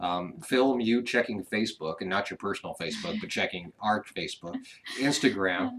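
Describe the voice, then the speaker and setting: A man's voice is heard here. Its pitch is medium. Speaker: ranch vlogger, former radio host. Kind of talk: live stream chat. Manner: fast; radio voice.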